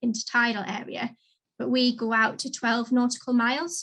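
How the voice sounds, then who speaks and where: A woman speaks at a fairly high pitch with a slight Geordie accent. Her tone is bright and sharp, and her pace is moderate. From northern England, Newcastle. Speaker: marine conservation adviser. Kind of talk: careers talk.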